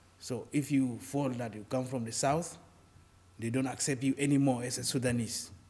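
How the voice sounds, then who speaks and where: Somewhat breathy and dark, mellow in tone, the voice moves at a moderate pace with fairly even intonation. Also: man, medium pitch for a man. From Sudan. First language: Arabic. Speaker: refugee activist. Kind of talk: interview. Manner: halting.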